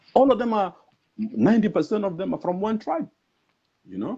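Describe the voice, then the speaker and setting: This man has a dark, mellow tone with vocal fry. He talks at a very fast pace. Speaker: veteran journalist. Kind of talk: political talk-show interview.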